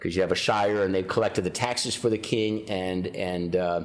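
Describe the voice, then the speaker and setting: A man talks at a fairly quick pace in a Midwestern US accent. Audible echo fills the room. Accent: US Midwest. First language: Ukrainian. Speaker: county sheriff. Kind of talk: interview.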